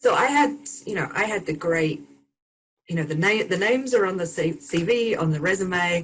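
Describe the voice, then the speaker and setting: A woman's medium-pitched voice at a moderate pace, with lively intonation. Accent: English. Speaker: burnout recovery expert and speaker. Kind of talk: podcast interview.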